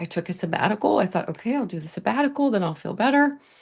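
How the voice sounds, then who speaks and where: This woman's voice sits fairly high. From US, half Mexican family. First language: Spanish. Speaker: burnout recovery coach. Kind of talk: webinar presentation. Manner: casual, conversational.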